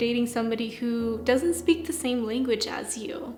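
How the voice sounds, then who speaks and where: A woman with an American accent speaks at a high pitch, with music in the background and audible room echo. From US, California. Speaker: YouTuber. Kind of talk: casual chat.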